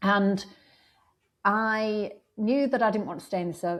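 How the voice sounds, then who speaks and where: The accent is northern English, and the pace is moderate. Intonation stays fairly even. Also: woman. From northern England, Blackpool. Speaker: law lecturer. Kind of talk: interview. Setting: podcast.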